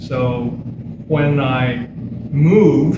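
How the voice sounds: In an American accent, a man talks at a very slow pace with a medium pitch and ordinary pitch variation. His tone is dark and mellow, and there is audible room echo.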